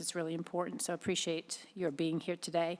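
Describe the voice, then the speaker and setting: A woman speaks with a Boston accent. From Boston, US. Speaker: board chair at public hearing. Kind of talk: public hearing chairing. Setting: public hearing with live audience. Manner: fast.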